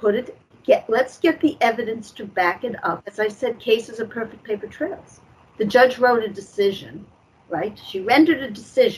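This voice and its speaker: In an unremarkable speaking voice, a woman talks at a moderate pace with a fairly high pitch, lively intonation and big swings in loudness. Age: 60s. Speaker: guest activist against judicial corruption. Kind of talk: interview on talk show.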